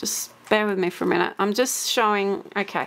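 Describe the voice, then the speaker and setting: A woman talks at a moderate pace and fairly high pitch in an unremarkable speaking voice. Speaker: crafter making a software tutorial. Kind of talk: tutorial.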